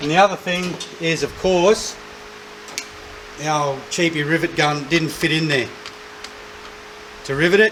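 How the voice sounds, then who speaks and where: With an Australian accent, a man talks at a fairly slow pace in a fairly high pitch. Long, frequent pauses break up his speech over noticeable background noise. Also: fairly even intonation. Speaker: car restoration YouTuber. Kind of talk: tutorial. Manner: loud.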